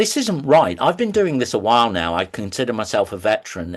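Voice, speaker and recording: A man speaks at a moderate pace and medium pitch, with lively intonation over a quiet background. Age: 60s. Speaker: lab technician and STEM educator. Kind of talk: podcast interview. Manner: hesitant with fillers.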